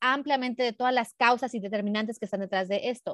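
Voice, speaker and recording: A woman's high-pitched voice at a very fast pace, with ordinary pitch variation, in a dry, close sound with no echo against a quiet background. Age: 40s. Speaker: body positivity activist and educator. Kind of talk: casual interview.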